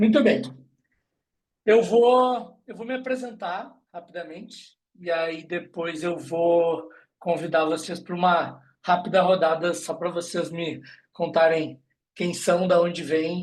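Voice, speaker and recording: A man's high-pitched voice at a very slow pace, with big swings in loudness, long and frequent pauses, and audible room echo. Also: ordinary pitch variation. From southern Brazil, Rio Grande do Sul. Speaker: HR recruitment specialist, guest lecturer. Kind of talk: online lecture. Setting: video call.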